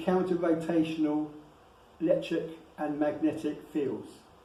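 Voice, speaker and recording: Here a man talks at a fairly slow pace in a fairly high pitch. He has an ordinary speaking voice. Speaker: lecturer on dragons and wizardry. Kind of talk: lecture with slides.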